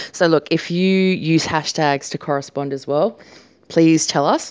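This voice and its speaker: A woman with an Australian accent speaks in a very deep, low pitch with ordinary pitch variation. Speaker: podcast host, small business owner. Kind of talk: casual solo talk. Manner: casual, many fillers.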